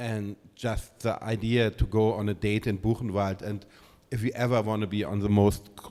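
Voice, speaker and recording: A man with a German accent speaks at a moderate pace in a dark, mellow tone. His fairly low pitch stays monotone and flat. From Germany. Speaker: curator. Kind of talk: public artist talk. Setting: gallery event with audience. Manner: hesitant, many fillers.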